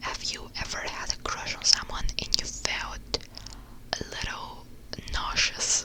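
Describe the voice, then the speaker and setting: Whispering at a very slow pace, the speaker has a relaxed tone. Noticeable background noise is present. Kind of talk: ASMR whisper ramble, casual talk to camera. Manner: whispered, soft; relaxed, chatty.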